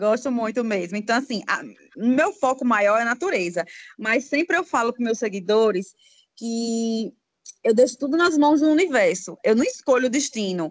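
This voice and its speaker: A woman speaks in a plain, everyday voice, pitched fairly high, with lively intonation. Her pace is moderate against a quiet background. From Aracaju, Sergipe, northeast Brazil. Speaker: psychologist and travel blogger. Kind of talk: casual interview.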